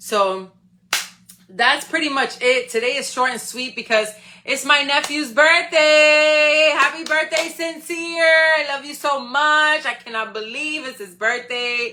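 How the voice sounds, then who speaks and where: Her voice raised and projected, a woman speaks at a high pitch with ordinary pitch variation, big swings in loudness, and an animated, bright, sharp tone. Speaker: live stream host, motivational speaker. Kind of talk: motivational talk.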